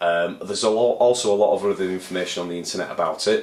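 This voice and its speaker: A man with a Leeds accent talks at a very fast pace. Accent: northern English, Leeds. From northern England, Leeds. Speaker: aspiring composer and video blogger. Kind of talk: casual vlog monologue. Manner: rambling, hesitant with many fillers.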